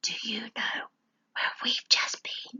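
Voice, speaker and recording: A woman whispers in a put-on character voice. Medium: read story.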